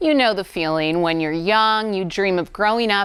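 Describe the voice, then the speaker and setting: A woman's plain, everyday voice, a plain, everyday voice at medium pitch with lively intonation. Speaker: sports reporter. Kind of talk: sports anchor read.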